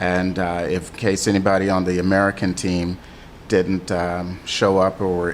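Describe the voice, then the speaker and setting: Noticeable background noise surrounds a man speaking at a fairly slow pace. His pitch is very deep and low. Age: 60s. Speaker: Muay Thai gym owner and coach. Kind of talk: radio interview. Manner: halting, many fillers.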